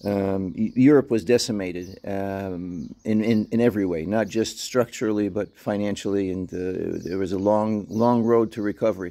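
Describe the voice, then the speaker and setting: A man with an American accent, fairly low in pitch and dark and mellow in tone, at a moderate pace with fairly even intonation and hardly any pauses. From New York City and Gozo, Malta. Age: 60s. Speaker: dog owner and vlogger. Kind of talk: casual vlog monologue. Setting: outdoors in backyard. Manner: hesitant, many fillers.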